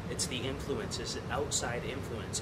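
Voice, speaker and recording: Audible room echo and noticeable background noise surround the voice. The delivery is fairly quick. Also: man. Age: 20s. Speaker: vlogger. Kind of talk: casual monologue. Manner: halting.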